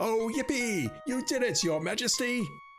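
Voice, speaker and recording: A put-on character voice at a fairly high pitch moves at a moderate pace. Clear music plays in the background. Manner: squealing in delight.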